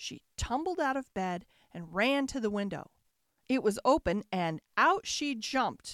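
A quiet background behind plain reading aloud, its intonation lively

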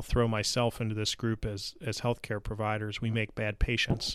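A man's unremarkable speaking voice at medium pitch and moderate pace. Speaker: podcast host. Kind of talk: interview. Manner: friendly, upbeat.

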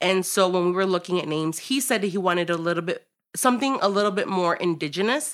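Speaking at a very fast pace with a Chicago accent, a woman has a medium pitch and ordinary pitch variation. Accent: Chicago American English. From Chicago, US Midwest. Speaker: restaurant co-owner. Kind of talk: interview.

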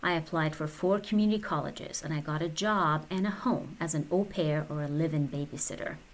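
In a Persian accent, a woman speaks with a very deep, low pitch and ordinary pitch variation. Her pace is fairly quick, with hardly any pauses. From Iran. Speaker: podcaster. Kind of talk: personal storytelling monologue.

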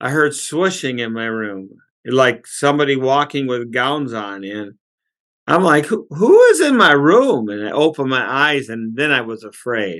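A man with an ordinary speaking voice, lively intonation and big swings in loudness, over a quiet background. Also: medium pitch for a man, moderate pace. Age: 60s. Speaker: pastor and author. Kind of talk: testimony.

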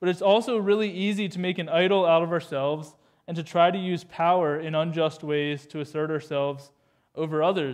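With ordinary shifts in pitch, a man moves along at a fairly quick clip. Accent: Canadian. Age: 20s. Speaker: youth pastor. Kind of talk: sermon. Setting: church. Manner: animated.

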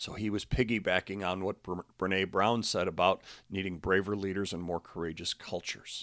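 Very deep and low, a man's voice stays flat and monotone in a dry, close recording with no echo and a silent background. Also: moderate pace. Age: 60s. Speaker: podcast host and basketball coach. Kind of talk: motivational podcast monologue. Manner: halting.

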